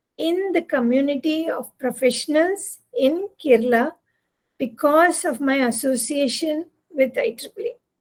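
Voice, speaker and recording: A woman speaks in a high voice with a Tamil accent. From Tamil-speaking South India. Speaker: engineering professor and volunteer coordinator. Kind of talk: invited talk.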